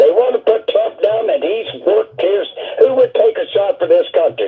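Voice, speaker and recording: A man talks with music playing in the background. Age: 80s+. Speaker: caller. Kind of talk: call-in comment.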